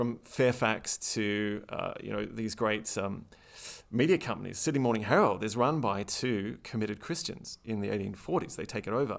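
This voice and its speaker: This man has a fairly low pitch with vocal fry and ordinary pitch variation at a moderate pace. The recording is very clean, with a silent background. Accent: Australian. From Australia. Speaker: historian. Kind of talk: interview conversation.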